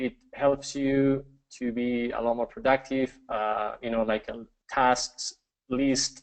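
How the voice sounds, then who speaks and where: A man speaks with a Spanish accent at a medium pitch. His pace is very slow and his intonation fairly even. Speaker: webinar presenter. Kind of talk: live webinar presentation. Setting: live online broadcast with screen share. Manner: halting, many fillers.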